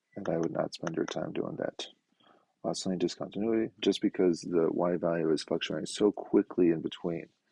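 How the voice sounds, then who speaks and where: A quiet man's voice at a fairly quick pace, dry and close with no echo. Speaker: math teacher. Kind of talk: lecture. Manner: fast.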